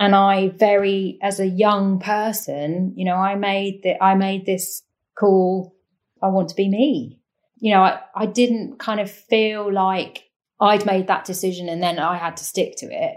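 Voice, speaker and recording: At a fairly slow pace, a woman with a southern English accent speaks at medium pitch with fairly even intonation. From eastern England, Cambridgeshire. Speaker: professional sailor. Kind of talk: interview.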